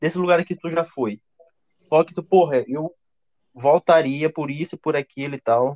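A man talks at a fairly slow pace with long, frequent pauses, his loudness swinging widely and his pitch varying in an ordinary way, all in a dry, close sound with no echo. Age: 20s. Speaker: podcast host. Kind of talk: casual chat.

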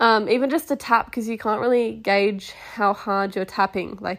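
At a moderate pace, a woman with an Australian accent speaks at medium pitch with fairly even intonation. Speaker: podcast host, equestrian rider. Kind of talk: casual solo podcast. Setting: at home on couch.

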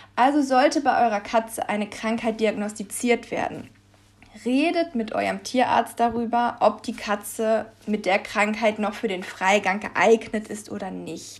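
Her pitch fairly high, a woman talks at a fairly slow pace in a normal speaking voice. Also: ordinary pitch variation. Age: 20s. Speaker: pet podcast host. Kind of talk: solo podcast monologue.

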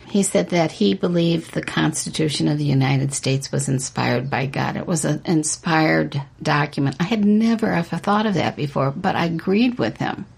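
Noticeable background noise sits under a woman's very deep, low voice as she talks at a fairly quick pace with lively intonation and hardly any pauses. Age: 70s. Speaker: author and podcast co-host. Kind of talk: religious discussion podcast.

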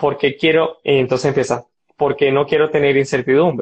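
Speaking at a moderate pace, a man uses a normal speaking voice with fairly even intonation and fairly high pitch. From Venezuela, Barinas (llanos). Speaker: biomedical engineer and entrepreneur. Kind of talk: casual interview.

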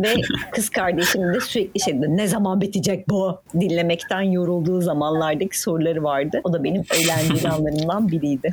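A woman talks at a moderate pace and a fairly low pitch. Noticeable background noise runs behind her. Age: 30s. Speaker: podcast editor and host. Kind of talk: casual chat; scripted narration.

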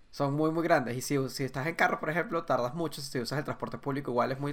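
The speaker has a Caracas accent. The pace is very fast. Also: man. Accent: Venezuelan (Caracas). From Venezuela, Caracas area (San Antonio de los Altos). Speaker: podcast guest. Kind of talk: casual chat.

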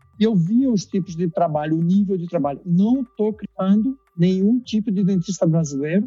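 With music in the background, a man at a high pitch talks with ordinary pitch variation and hardly any pauses, the sound dry and close with no echo. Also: moderate pace. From Brazil, Recife (Pernambuco). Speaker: dentist. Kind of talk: casual interview. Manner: halting, with frequent repetitions.

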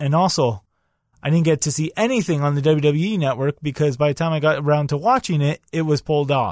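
A man with a plain, everyday voice, fairly high-pitched, at a fairly quick pace with ordinary pitch variation, in a dry, close sound with no echo on a very clean recording with a silent background. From Canada. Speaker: wrestling podcast host. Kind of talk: podcast monologue with match play-by-play.

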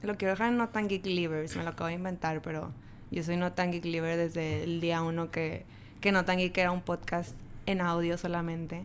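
A woman talks at a moderate pace with fairly even intonation and a fairly low pitch. Hers is a plain, everyday voice. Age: 20s. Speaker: podcast guest, friend of host. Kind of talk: casual chat.

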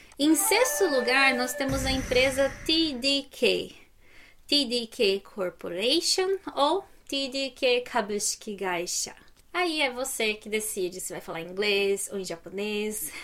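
A woman's high-pitched, very slow speech with very wide pitch swings and big swings in loudness. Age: 30s. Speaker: finance YouTuber. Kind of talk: tutorial. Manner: animated.

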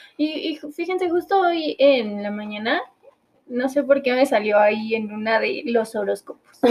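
Very wide pitch swings and a fairly slow pace from a woman with a high voice. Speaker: podcast co-host. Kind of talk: casual chat.

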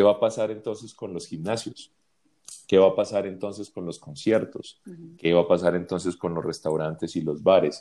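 The tone is dark and mellow. The pace is moderate. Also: man, very deep, low pitch for a man, ordinary pitch variation. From Colombia. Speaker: advertising agency creative director. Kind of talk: interview conversation. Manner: hesitant, many fillers and repetitions.

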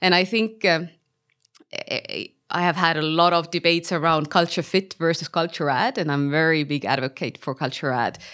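In a very clean recording with a silent background, a woman with a normal speaking voice speaks at a fairly quick pace, her fairly low pitch showing ordinary variation. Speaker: startup founder and CEO. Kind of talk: interview conversation.

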